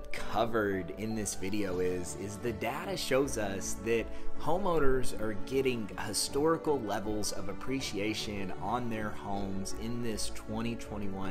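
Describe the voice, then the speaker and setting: A man at a fairly slow pace with clear music in the background. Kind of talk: market update commentary. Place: home room. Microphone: phone near.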